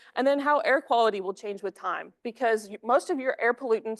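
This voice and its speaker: The speaker talks at a very fast pace with lively intonation. The sound is dry and close with no echo, over a quiet background. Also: woman. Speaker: graduate student researcher. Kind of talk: research presentation. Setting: seminar room with online audience. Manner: loud.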